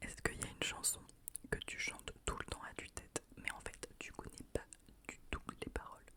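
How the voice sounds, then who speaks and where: A woman is whispering. Noticeable background noise runs beneath her. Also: moderate pace. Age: 20s. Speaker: ASMR creator. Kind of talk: ASMR question game, casual talk to camera. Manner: friendly, playful, chatty, laughing.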